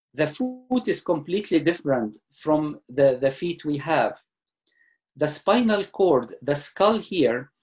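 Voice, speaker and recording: Very slow speech from a fairly high-pitched man, full of very wide pitch swings. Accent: Egyptian. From Egypt. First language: Arabic. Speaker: retired surgeon. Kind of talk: lecture talk answering host.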